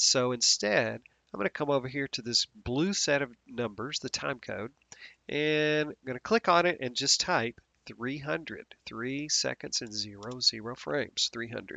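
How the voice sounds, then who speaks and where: A man speaks at a moderate pace and medium pitch in an ordinary speaking voice with ordinary pitch variation. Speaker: software instructor. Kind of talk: tutorial. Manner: casual, with fillers.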